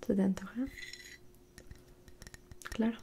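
A soft-spoken woman talks over light background noise. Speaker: ASMR creator. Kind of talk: soft-spoken ASMR roleplay and bedtime story. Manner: soft-spoken, intimate ASMR voice. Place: home room. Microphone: studio mic.

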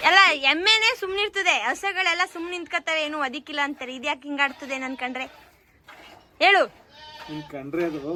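In a raised, projected voice, a woman speaks with an animated tone and high pitch, her loudness swinging widely over noticeable background noise. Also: lively intonation. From Mandya district, Karnataka. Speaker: vlogger. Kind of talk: casual vlog narration.

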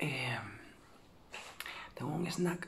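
A woman is heard here. She whispers. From Dominican Republic. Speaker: mother. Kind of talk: asmr ramble, casual talk to camera. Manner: soft-spoken. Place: home room. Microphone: phone near.

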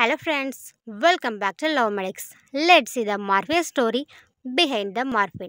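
With lively intonation and a bright, sharp tone, a woman speaks at a fairly high pitch on a very clean recording with a silent background. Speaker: educational video narrator. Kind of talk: mythology documentary narration. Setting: video channel voiceover.

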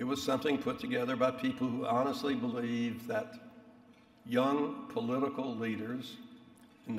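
A man at a moderate pace, audible room echo surrounding his words. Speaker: speaker. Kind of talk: after-dinner speech. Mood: wry, reminiscent. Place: hall. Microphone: podium.

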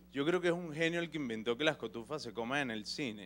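Speech rushes along at a very fast pace with lively intonation. Light background noise sits underneath. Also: man. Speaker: stand-up comedian. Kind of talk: stand-up comedy monologue. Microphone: handheld.

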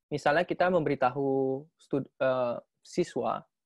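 A man speaks with fairly even intonation against a quiet background, the sound dry with no echo. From Indonesia. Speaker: PhD researcher presenting a paper; candidate. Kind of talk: academic webinar presentation; Q&A answers. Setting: video call. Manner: halting, many fillers. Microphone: video call.

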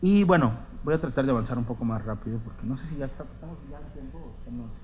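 A man talks at a fairly quick pace with very wide pitch swings and a somewhat breathy sound, over light background noise. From northeastern Mexico, Coahuila. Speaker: writer; writer giving a lecture. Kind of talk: lecture. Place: hall. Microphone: podium.

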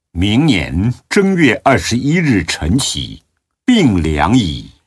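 A man speaks at a very slow pace with vocal fry and very wide pitch swings. The background is quiet. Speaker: audiobook narrator. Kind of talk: devotional audiobook reading of Buddhist biography (radio drama style). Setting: recording studio. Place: studio.

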